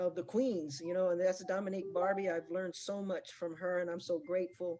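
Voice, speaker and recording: With a plain, everyday voice, a woman speaks at a fairly quick pace, medium in pitch, with fairly even intonation. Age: 60s. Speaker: forex trader giving testimonial. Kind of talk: testimony.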